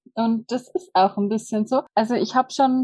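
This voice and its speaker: At a moderate pace, a woman speaks in a fairly high, somewhat breathy voice with ordinary pitch variation and a dry, close sound with no echo. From Bavarian Forest, Germany. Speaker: hotel manager and human design practitioner. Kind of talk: casual interview.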